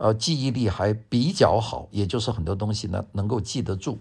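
A man's somewhat breathy voice at medium pitch with a Wuhan accent, moderate in pace over a quiet background. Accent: Wuhan-accented Mandarin. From Guangzhou, then Wuhan. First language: Cantonese (speaking Chinese). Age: 70s. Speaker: professor and radio host. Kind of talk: memoir talk. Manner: relaxed, many fillers.

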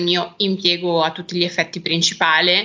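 A woman with a fairly low-pitched voice talks at a moderate pace. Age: 30s. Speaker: make-up artist and hairstylist. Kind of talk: interview.

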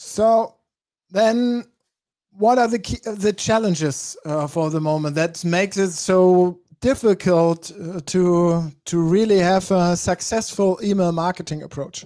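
A man's high-pitched voice with a dark, mellow tone at a fairly slow pace. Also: ordinary pitch variation. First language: German. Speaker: talk show host. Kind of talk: live interview talk. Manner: halting.

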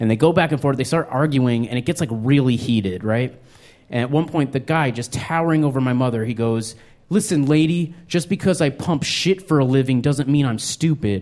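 Over a silent background in a very clean recording, a man uses a normal speaking voice with an American accent, medium pitch, ordinary pitch variation and a fairly quick pace. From New Mexico, US. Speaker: stand-up comedian. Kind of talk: stand-up. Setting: stage with audience.

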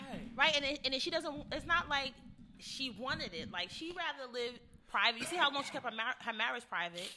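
Speaking fairly quickly with lively intonation, a woman uses a raised, projected voice at a high pitch. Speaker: radio show co-host. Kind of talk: casual chat.

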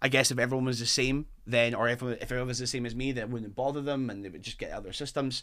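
A man speaks at a very fast pace with a Fife accent. The recording is very clean, with a silent background. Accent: Scottish, Fife. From Fife, Scotland. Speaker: football fan. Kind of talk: casual chat. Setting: studio.

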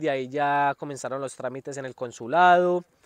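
A man speaks in a normal speaking voice, fairly high in pitch, with ordinary pitch variation. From Colombia, Antioquia (Medellín area). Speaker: Colombian immigrant farm worker. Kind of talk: interview storytelling. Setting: outdoors in the sun.

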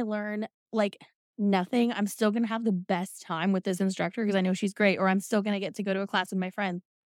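At a very fast pace, a woman talks in a fairly high pitch. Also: dry, close sound with no echo, very clean recording, silent background. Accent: American. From Indiana. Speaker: pole dancer and burlesque performer. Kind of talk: casual chat.

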